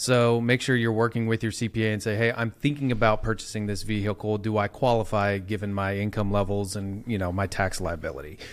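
A man with an ordinary speaking voice and a fairly low pitch talks with hardly any pauses and fairly even intonation. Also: fairly quick pace. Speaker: podcast co-host, accountant. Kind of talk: interview.

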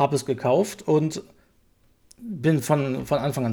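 The man's tone is dark and mellow. His recording is very clean, and the background is silent. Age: 30s. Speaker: games journalist. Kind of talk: casual chat.

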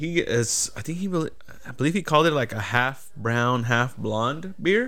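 A man speaks with an unremarkable speaking voice at medium pitch. His intonation is lively, and his pace is fairly slow. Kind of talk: casual banter. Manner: casual, profane.

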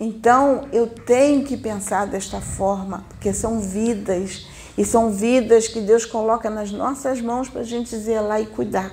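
This woman has a normal speaking voice with a fairly high pitch. She talks at a fairly slow pace with fairly even intonation. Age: 60s. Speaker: spiritist medium. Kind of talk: spiritual teaching.

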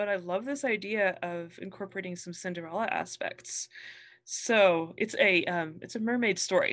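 A woman has an unremarkable speaking voice, medium in pitch with ordinary pitch variation. She talks at a moderate pace against a quiet background. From New Mexico, US. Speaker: author. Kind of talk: casual interview.

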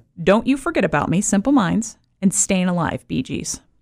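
A woman speaks at a medium pitch with noticeable vocal fry. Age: 40s. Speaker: podcast host. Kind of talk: casual chat.

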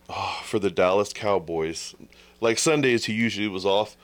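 A man with a Texan accent talks at a moderate pace with fairly even intonation and fairly low pitch, on a very clean recording with a silent background. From Texas. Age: 30s. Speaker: podcaster. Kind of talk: casual chat.

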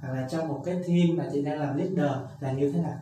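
Audible room echo and noticeable background noise accompany a man with a fairly high pitch. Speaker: podcast host. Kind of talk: interview.

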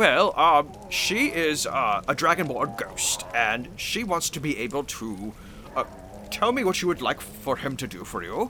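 Someone does a put-on character voice at a fairly slow pace over clear background noise. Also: man, fairly high pitch for a man. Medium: actual play. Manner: courteous.

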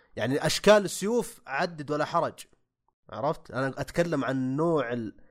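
An unremarkable speaking voice from a man, fairly high in pitch with lively intonation. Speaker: gaming podcast panelist. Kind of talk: casual chat.

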